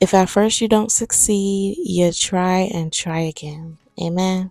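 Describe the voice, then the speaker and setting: At a very slow pace, a woman speaks with a dark, mellow tone, medium pitch and fairly even intonation. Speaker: sewing vlogger. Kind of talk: casual voiceover vlog. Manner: casual, chatty.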